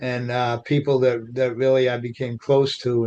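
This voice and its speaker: This man has a strong Boston accent and a medium pitch, and he speaks at a fairly slow pace. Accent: strong Revere Boston. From Revere, Massachusetts. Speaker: author and poet. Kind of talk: podcast interview.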